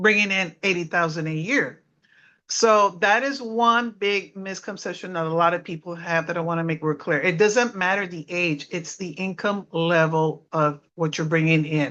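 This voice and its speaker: A woman with an American accent, moderate pace and ordinary pitch variation. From South Texas. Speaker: former government tax worker giving talk. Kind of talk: informational talk.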